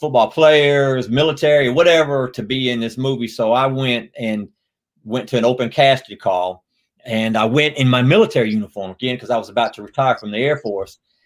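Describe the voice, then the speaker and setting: This man has a slight Louisiana accent and a medium pitch. He talks at a fairly quick pace with ordinary pitch variation. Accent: Southern, slight Louisiana. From US South, Louisiana. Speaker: actor and retired Air Force veteran. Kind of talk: interview.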